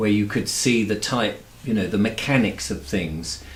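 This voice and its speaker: Someone with an English accent talks at a fairly slow pace with lively intonation, and audible room echo can be heard. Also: man. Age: 60s. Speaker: YouTuber. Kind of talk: interview. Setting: home studio.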